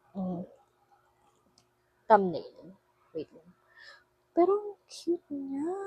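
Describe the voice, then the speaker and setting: Soft-spoken and very slow, a woman with a high, dark, mellow voice swings very widely in pitch and leaves long, frequent pauses. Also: dry, close sound with no echo. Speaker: vlogger. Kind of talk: casual vlog unboxing. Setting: dorm room. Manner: animated.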